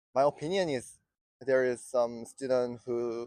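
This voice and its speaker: Speaking very slowly in a Korean accent, a man with a medium pitch keeps his intonation fairly even, and the sound is dry and close with no echo. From South Korea. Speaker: street interview respondent. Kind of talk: street interview. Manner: halting.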